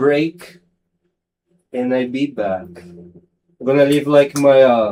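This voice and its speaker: A man speaks at a very slow pace in a dark, mellow tone with ordinary pitch variation. His speech has long, frequent pauses. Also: medium pitch for a man. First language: not English. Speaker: sim racing streamer. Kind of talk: casual live stream chat. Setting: home studio live stream. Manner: halting, many fillers.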